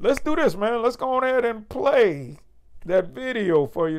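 Against a quiet background, a man speaks. His pitch swings very widely. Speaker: show host. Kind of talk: casual commentary. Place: home room.

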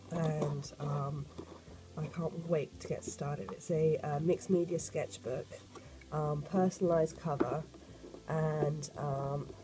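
With faint background noise, a woman talks at a fairly slow pace, her low pitch and dark, mellow tone paired with fairly even intonation.

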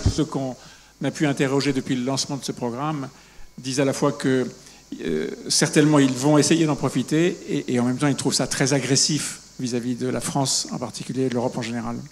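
At a fairly quick pace, a man talks at a medium pitch with ordinary pitch variation over light background noise. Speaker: panel moderator. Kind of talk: moderated panel discussion. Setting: stage with audience. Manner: humorous. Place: stage.

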